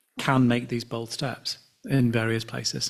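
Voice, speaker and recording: A man at medium pitch with a London accent, a moderate pace and monotone, flat intonation. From London, England. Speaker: session moderator. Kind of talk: conference moderation.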